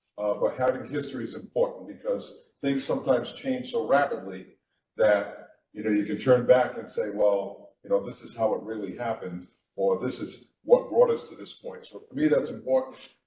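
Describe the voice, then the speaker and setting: A man with an American accent at a moderate pace, with big swings in loudness. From Middletown, Rhode Island, US. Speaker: town council candidate. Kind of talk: candidate forum statement. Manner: halting, many fillers.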